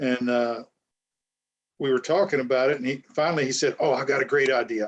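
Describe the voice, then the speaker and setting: A man with a normal speaking voice talks at a medium pitch and a fairly quick pace. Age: 60s. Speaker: author and podcast host. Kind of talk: casual chat.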